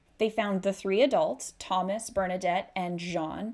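The speaker has a Canadian accent and ordinary pitch variation. The pace is fairly slow. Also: woman. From Canada. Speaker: true crime YouTuber. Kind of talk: true-crime narration, retelling a grisly case in a serious, storytelling tone. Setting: solo video recording. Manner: conversational and casual, with a steady, sombre pace during the gruesome parts. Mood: serious, somber. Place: home room. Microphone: studio mic.

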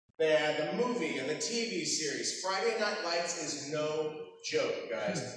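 A man's high-pitched voice at a fairly slow pace, with ordinary pitch variation, strong room echo and light background noise. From Texas. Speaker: voice actor. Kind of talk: convention panel talk with audience. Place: hall. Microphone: camera far.

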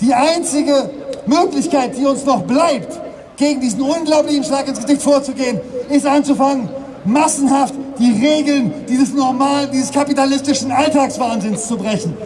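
Passionate in tone, a man speaks at an extremely high pitch, at a moderate pace and with ordinary pitch variation. Long, frequent pauses break up his speech amid noticeable background noise. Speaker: climate activist speaker. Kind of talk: protest rally speech. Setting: outdoors at demonstration. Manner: emotional, passionate. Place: street.

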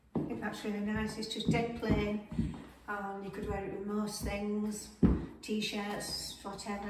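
Loud background noise and audible room echo fill the recording. A woman speaks at a moderate pace. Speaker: fashion vlogger. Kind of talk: casual talk to camera. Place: home room. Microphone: camera far.

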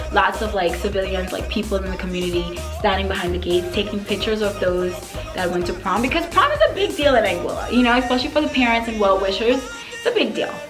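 Clear music plays in the background. A woman speaks over it at a very fast pace. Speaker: beauty vlogger. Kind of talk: casual vlog storytelling. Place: home room.

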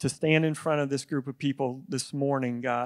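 The man talks with fairly even intonation, the background around him quiet. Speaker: preacher. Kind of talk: sermon. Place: church. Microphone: handheld.

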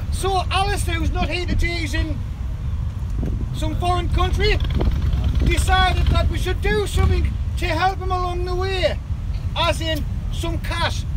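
A man speaks at a moderate pace with long, frequent pauses. The sound is dry with no echo, under loud background noise. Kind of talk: outdoor speech to a crowd. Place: open country. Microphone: camera far.

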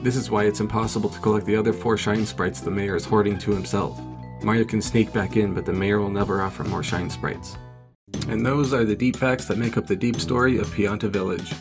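Clear music plays in the background as the speaker rushes along at a very fast pace. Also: man, fairly low pitch for a man. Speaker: video narrator. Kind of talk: comedic narration.

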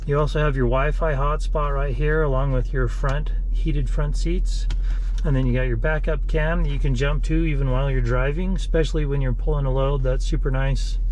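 At a fairly quick pace and very even loudness, a man talks in dry sound with no echo and light background noise. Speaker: car salesman. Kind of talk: vehicle walkaround tour. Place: car. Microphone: phone near.

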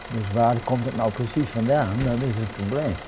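A man's pitch moves in a typical way while clear noise is heard in the background. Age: 80s+. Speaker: car mechanic. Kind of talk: interview answer. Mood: cheerful, content. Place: garage. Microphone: lapel.

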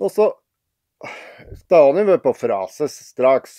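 Against a quiet background, a man talks in a dark, mellow tone. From Piteå, northern Sweden. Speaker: dialect storyteller. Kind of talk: humorous anecdote told in dialect. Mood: wry, humorous musing. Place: home room. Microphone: phone near.

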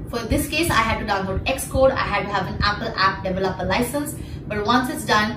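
There is noticeable background noise behind this woman. She speaks at a fairly quick pace with ordinary pitch variation. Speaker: health vlogger. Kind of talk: explainer vlog. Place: home room.

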